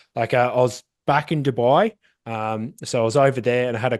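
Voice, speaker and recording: Someone speaks at a fairly quick pace with an Australian accent. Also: man, quiet background. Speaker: SEO agency founder. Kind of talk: casual interview. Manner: animated.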